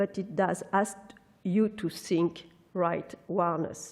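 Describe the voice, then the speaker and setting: The speaker has a non-native accent. The delivery is fairly slow. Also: woman. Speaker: architectural historian, professor. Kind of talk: lecture; audience Q&A. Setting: conference hall with audience.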